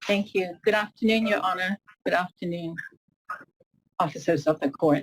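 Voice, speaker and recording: A somewhat breathy woman at medium pitch talks at a moderate pace with ordinary pitch variation, her sound dry and close with no echo. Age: 70s. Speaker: victim impact speaker at sentencing. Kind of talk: courtroom statement. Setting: courtroom.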